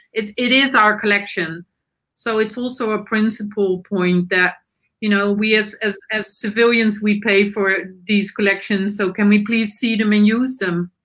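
A woman with a Dutch accent talks at a moderate pace and fairly high pitch, her intonation monotone and flat. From Netherlands. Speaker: nonprofit board member. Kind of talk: panel discussion. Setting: video call.

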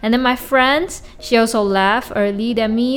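A woman with a Chinese accent talks at a fairly quick pace in a fairly high voice with ordinary pitch variation, amid noticeable background noise. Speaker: solo podcast host. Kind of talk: casual monologue. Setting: home recording with mic. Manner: halting, many repetitions and fillers.

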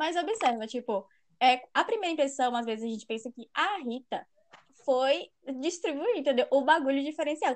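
A woman with a high pitch and lively intonation talks at a moderate pace, her loudness swinging widely. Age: 20s. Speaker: youtuber. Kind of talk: casual chat.

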